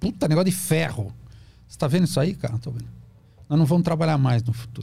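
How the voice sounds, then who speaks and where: Over noticeable background noise, a man with a fairly high pitch and lively intonation talks at a very fast pace. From Brazil, São Paulo (ABC region). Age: 50s. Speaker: psychoanalyst. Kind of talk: podcast interview, explanatory talk. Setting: studio.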